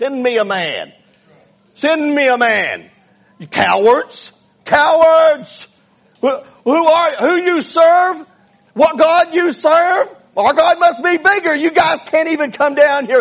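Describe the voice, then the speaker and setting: A man puts on a character voice at an extremely high pitch. He speaks at a very slow pace. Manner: hollering, taunting.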